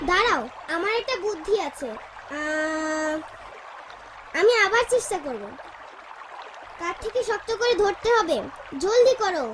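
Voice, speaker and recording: A cartoonish character voice speaks at an extremely high pitch and a fairly slow pace. Background noise is clearly audible. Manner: urgent, energetic.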